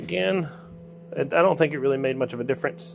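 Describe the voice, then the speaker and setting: A man's relaxed, fairly quick speech with a Southern accent. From Georgia, US South. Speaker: livestreamer making antenna parts in workshop. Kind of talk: casual livestream chat while working. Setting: workshop, live stream. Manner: relaxed, folksy.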